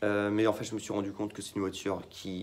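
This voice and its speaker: A man speaking over noticeable background noise. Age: 18. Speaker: car YouTuber. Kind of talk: casual vlog talk to camera. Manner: hesitant, many fillers.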